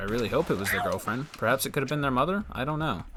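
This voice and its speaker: Medium pitch marks this man's voice. There is noticeable background noise. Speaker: gaming youtuber. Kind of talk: casual gameplay commentary. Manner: fast, trips over words and restarts.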